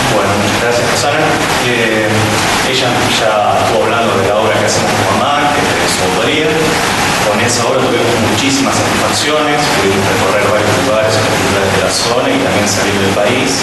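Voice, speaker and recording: A man talks at a fairly quick pace with ordinary pitch variation. Audible room echo and loud background noise fill the clip. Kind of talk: public talk to audience. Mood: grateful, calm. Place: stage.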